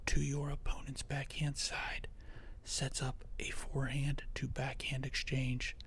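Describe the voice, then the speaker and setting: Someone whispers at a very slow pace. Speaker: tennis coach. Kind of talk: tennis strategy voiceover lesson. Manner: soft-spoken, occasionally whispered.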